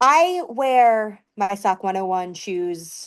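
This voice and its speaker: Her pitch swings very widely. The woman has a slight Southern US accent, and the background is quiet. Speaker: promotional products sales professional. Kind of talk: podcast interview.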